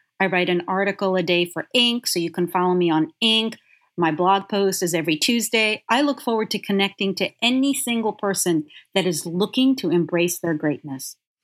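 At a moderate pace, a woman speaks with a medium pitch and ordinary pitch variation. Her loudness stays very even in a dry, close sound with no echo. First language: Yiddish. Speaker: executive leadership coach. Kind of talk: interview.

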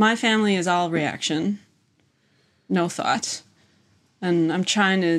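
Recorded very cleanly against a silent background, a woman with a Midwestern American accent talks at a fairly slow pace with long, frequent pauses, her fairly low voice fairly even in intonation. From US Midwest (Wisconsin). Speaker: visual artist running an artist residency. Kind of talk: casual chat. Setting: in person, same room as host.

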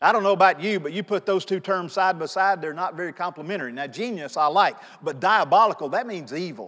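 A man talks loudly and very fast, with hardly any pauses, in a high, bright, sharp voice and an animated tone. His pitch varies in an ordinary way, against a quiet background. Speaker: pastor. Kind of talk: sermon. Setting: church.

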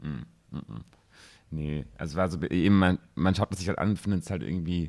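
On a very clean recording with a silent background, a man speaks at a moderate pace in a very deep, low voice. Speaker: podcast co-host. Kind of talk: casual chat.

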